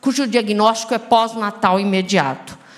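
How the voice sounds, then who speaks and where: A woman talks in an animated tone at a fairly slow pace. Room echo is audible. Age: 60s. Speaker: physician, rare disease specialist. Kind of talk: panel discussion. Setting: stage with audience.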